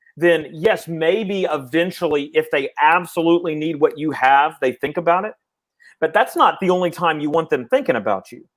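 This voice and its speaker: A man's high-pitched voice with ordinary pitch variation, on a very clean recording with a silent background. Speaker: sales coach, show host. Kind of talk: live video discussion. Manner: fast; rambling.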